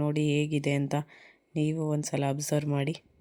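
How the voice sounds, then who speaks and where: A woman speaks in a very deep, low pitch with a dark, mellow tone. The recording is very clean, with a silent background. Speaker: travel vlogger. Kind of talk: vlog narration. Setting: outdoors.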